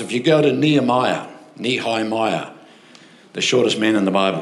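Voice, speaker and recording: Someone with an Australian accent speaks at a moderate pace with lively intonation, with audible room echo. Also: man. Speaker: pastor. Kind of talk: sermon. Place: church. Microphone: handheld.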